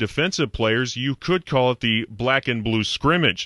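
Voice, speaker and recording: A man speaks in a plain, everyday voice at medium pitch. His intonation is lively, and the background is quiet. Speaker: radio sports reporter. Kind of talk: radio scoreboard update.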